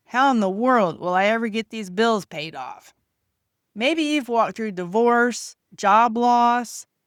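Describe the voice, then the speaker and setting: In a very clean recording with a silent background, a woman with an unremarkable speaking voice talks fairly slowly, her fairly high pitch showing ordinary variation. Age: 50s. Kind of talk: faith-based personal testimony to camera.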